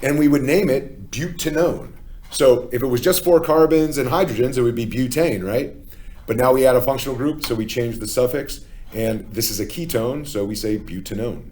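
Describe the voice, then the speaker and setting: A man with an American accent, dark and mellow in tone, lively in intonation, at a moderate pace amid audible room echo. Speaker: chemistry teacher. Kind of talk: lecture. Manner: casual with many fillers (okay, uh, um).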